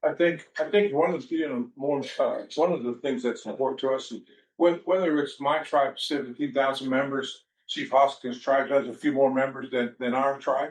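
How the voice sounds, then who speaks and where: This man has an unremarkable speaking voice with a fairly high pitch. His intonation is fairly even and his pace moderate. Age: 60s. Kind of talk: press conference remarks. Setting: press event.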